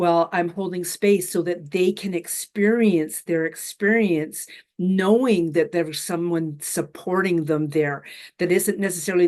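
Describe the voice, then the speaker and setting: An unremarkable speaking voice from a woman with a Canadian accent, fairly low in pitch, at a moderate pace with ordinary pitch variation, over a quiet background. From western Canada (Alberta). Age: 60s. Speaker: spiritual mentor. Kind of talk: casual interview chat. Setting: live online session.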